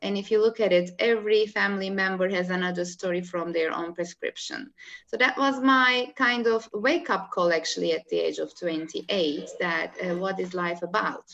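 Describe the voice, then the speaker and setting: Speaking with a Turkish accent, a woman talks with hardly any pauses. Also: medium pitch for a woman, ordinary pitch variation, moderate pace. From Turkey, Istanbul. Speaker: holistic life coach. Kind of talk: interview. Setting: video call. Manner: halting.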